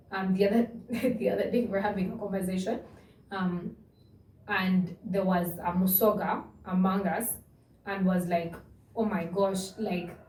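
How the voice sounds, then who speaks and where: A woman's medium-pitched, monotone, flat voice with long, frequent pauses and audible room echo. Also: moderate pace. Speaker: podcast co-host. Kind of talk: casual chat. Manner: loud.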